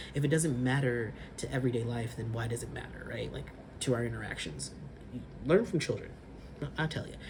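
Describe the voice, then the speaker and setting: In a Californian accent, a man talks at a fairly quick pace with medium pitch, ordinary pitch variation and big swings in loudness. Long, frequent pauses break up his speech, and room echo is audible. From California, Sacramento. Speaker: vlogger. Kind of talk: casual vlog monologue.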